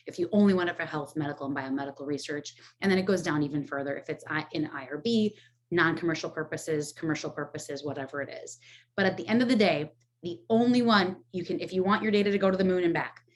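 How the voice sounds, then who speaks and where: At a very fast pace, a woman with a fairly low pitch speaks with ordinary pitch variation and big swings in loudness. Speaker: rare disease data platform representative. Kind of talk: presentation.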